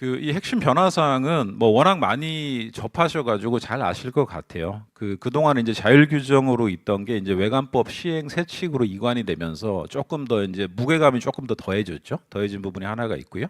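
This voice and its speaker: A man's medium-pitched voice at a fairly quick pace, lively in intonation, with hardly any pauses. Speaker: conference speaker on governance and internal control. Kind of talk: conference presentation. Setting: seminar hall with audience. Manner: speeding up under time pressure; hesitant fillers, self-corrections.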